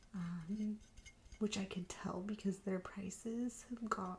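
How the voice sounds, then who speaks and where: Soft-spoken and medium in pitch, a woman talks with monotone, flat intonation against noticeable background noise. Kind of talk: ASMR thrift haul, casual talk to camera. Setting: home recording, close mic.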